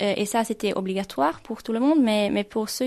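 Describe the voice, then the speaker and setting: This is a woman's voice. She speaks with a Swedish accent. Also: quiet background. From Finland. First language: Swedish (speaking French). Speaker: intern. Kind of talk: radio interview. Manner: halting, many hesitations.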